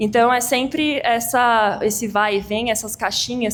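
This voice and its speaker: A woman's voice in a monotone, with flat intonation. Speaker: tax lawyer presenting at a firm event. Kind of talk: lecture. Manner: fast.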